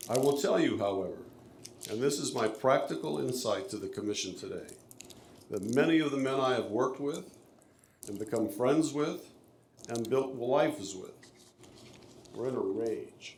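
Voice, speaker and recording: There is audible room echo as a man talks at a moderate pace. He takes long, frequent pauses. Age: 70s. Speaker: public commenter, company executive. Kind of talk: public comment at a city meeting. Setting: city planning commission meeting. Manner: formal.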